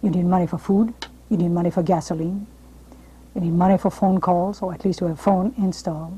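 A woman speaks with a French accent. Her voice is somewhat breathy. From France. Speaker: television host and drama coach. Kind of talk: interview and advice monologue. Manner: formal. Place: studio. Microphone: lapel.

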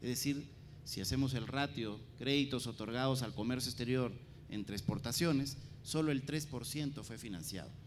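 With faint music in the background, a man talks at a moderate pace with ordinary pitch variation. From Peru. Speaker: government trade official; panelist. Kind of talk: conference presentation. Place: hall. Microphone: handheld.

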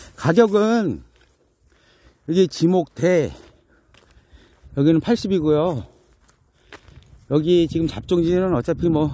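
Very slowly, a man speaks in a dark, mellow tone with lively intonation. The sound is dry with no echo, over light background noise. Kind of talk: property walkthrough commentary. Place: open country. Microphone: phone near.

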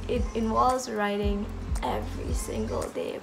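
A woman speaks over clear background music. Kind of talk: casual vlog chat. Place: home room. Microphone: phone near.

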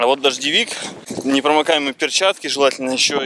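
There is noticeable background noise behind a man's voice, which sounds dry with no echo. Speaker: travel vlogger. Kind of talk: casual vlog chat.

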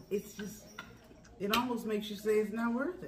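A woman's voice over noticeable background noise. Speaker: mukbang host. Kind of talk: casual vlog chat. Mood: warm, reflective in part. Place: kitchen. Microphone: phone near.

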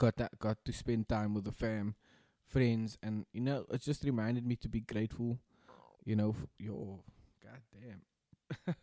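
Over a quiet background, a dark, mellow voice moves at a moderate pace with long, frequent pauses, fairly even intonation and a dry sound with no echo. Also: man. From South Africa. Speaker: podcast co-host. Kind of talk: casual chat. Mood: reflective, grateful. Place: home room. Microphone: studio mic.

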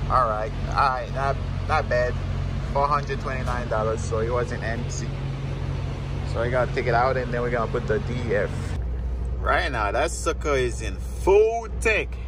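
A man at a moderate pace with long, frequent pauses, in a dry sound with no echo and noticeable background noise. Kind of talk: casual vlog chat. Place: station. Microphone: phone near.

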